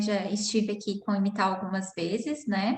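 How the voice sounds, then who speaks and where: A somewhat breathy woman at a medium pitch and moderate pace. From São Paulo, Brazil. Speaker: psychoanalyst. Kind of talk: online panel discussion. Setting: online video call.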